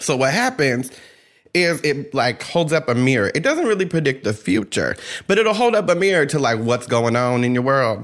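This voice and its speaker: This man has a fairly high pitch and an animated tone, with lively intonation. His loudness stays very even at a moderate pace. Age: 30s. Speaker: podcast host, tarot reader. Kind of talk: casual chat; tarot reading.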